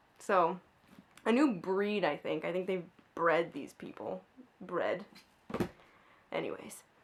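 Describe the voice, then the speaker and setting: The woman's very slow speech is broken by long, frequent pauses. Her medium-pitched voice has vocal fry and lively intonation. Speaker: book vlogger. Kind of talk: casual chat. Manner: halting.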